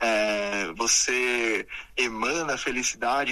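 A man's speech comes with noticeable background noise. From Brazil, São Paulo state (Sorocaba). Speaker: entrepreneur and TV personality. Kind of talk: interview.

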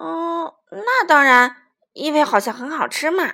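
In a put-on character voice, a woman speaks high-pitched with vocal fry and a bright, sharp tone, using lively intonation at a fairly slow pace on a very clean recording with a silent background.

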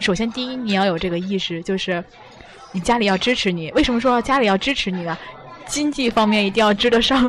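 A woman's fairly high voice at a fairly quick pace, with ordinary pitch variation, over crowd noise in the background. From China, Tianjin. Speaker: podcast host, student. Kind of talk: casual interview. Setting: restaurant.

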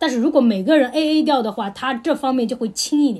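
A woman speaks high in pitch with a dark, mellow tone. Her pitch swings very widely. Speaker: podcast host. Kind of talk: casual chat.

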